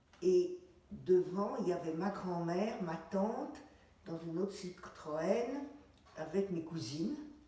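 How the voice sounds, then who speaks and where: Through audible room echo and noticeable background noise, a woman speaks at a very slow pace with long, frequent pauses, her medium pitch carried by lively intonation. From France, Paris. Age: 80s+. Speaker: retired dentist, war witness. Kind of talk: testimony interview. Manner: halting, with hesitations.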